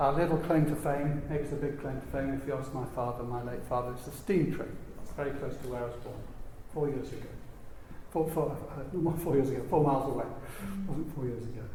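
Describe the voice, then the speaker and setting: Over noticeable background noise and audible room echo, a man with a northern English accent talks at a fairly quick pace in a fairly high voice. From northern England. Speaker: business consultant. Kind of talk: panel interview. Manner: animated.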